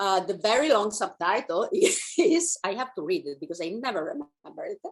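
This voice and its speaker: At a moderate pace, a woman with an Italian accent speaks with very wide pitch swings. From Italy. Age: 50s. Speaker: author and women's guide. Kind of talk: interview.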